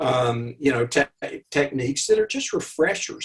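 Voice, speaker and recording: Somewhat breathy speech at a moderate pace, with an Arkansas accent. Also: man. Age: 70s. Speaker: underwater photographer and author. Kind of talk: interview. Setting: video call.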